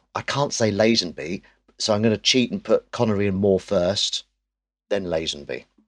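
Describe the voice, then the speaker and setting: The sound is dry and close with no echo, over a quiet background. A man with an English accent speaks at a moderate pace. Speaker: actor and comedian. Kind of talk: casual chat.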